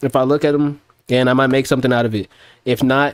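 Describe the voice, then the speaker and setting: This man talks at a very fast pace with a fairly high pitch. The sound is dry and close, with no echo. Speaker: music producer streamer. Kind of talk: casual livestream chat. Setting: livestream. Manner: loud; animated.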